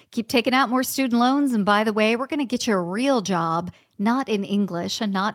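A woman's normal speaking voice, lively in intonation and moderate in pace, in a very clean recording with a silent background and a dry, close sound with no echo. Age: 40s. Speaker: HR leader turned writer and speaker. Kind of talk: podcast interview.

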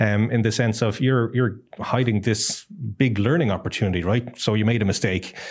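With an Irish accent, this voice keeps fairly even intonation and very even loudness, with hardly any pauses. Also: man, medium pitch for a man, moderate pace. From Ireland. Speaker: tech company executive. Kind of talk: interview conversation. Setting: studio.

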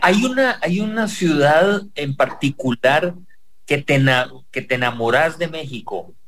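A man's voice with very wide pitch swings at a very slow pace. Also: fairly high pitch for a man. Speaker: radio host. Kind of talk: radio interview.

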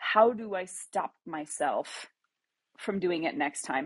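In a dry, close sound with no echo, a woman speaks with a normal speaking voice at medium pitch. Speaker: discussion moderator for a creative community. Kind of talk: live audio room group discussion. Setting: live audio app room.

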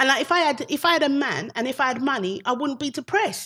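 A woman with a British accent speaks at a very fast pace in a bright, sharp tone with lively intonation, on a very clean recording with a silent background. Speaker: comedian. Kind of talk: casual chat.

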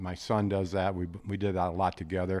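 A man with a slight Midwestern US accent on a very clean recording against a silent background. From South Dakota. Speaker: retired guest hunter. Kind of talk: casual chat. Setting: studio.

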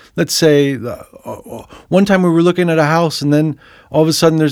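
A plain, everyday voice speaks with an American accent at a moderate pace, with ordinary pitch variation. The recording is very clean, with a silent background. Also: man. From US Northeast, New Jersey. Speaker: music producer and author. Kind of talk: casual chat.

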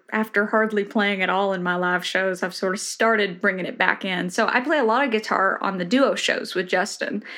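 Speaking in a Tennessee accent, a woman talks at a moderate pace at medium pitch with ordinary pitch variation over a quiet background. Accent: Southern US (Tennessee). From rural Tennessee. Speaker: bluegrass musician. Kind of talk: casual interview chat.

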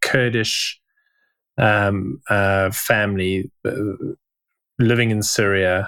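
Recorded very cleanly with a silent background, a man with a fairly low pitch speaks at a very slow pace in a monotone, flat intonation. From South Africa. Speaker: podcast co-host. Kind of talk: casual chat.

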